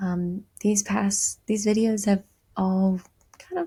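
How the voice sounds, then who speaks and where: Speaking at a fairly slow pace, a woman has a medium-pitched, somewhat breathy voice. Her intonation stays fairly even. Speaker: podcast host. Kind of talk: casual motivational monologue.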